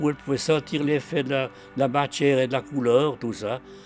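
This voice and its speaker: Over music in the background, a man talks at a moderate pace with fairly even intonation. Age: 80s+. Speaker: artist, painter and mosaicist. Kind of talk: documentary interview answer.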